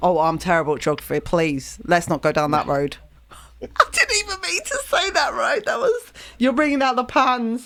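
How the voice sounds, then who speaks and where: A woman speaks at a moderate pace with a southeast English accent. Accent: fairly broad southeast English. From southern England. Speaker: music streamer. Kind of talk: casual chat. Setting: live stream.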